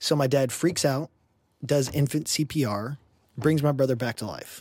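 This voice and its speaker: In a Texan accent, a man speaks at a medium pitch. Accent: Texan American. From Houston, Texas. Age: 30s. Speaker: podcast guest. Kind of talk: casual chat.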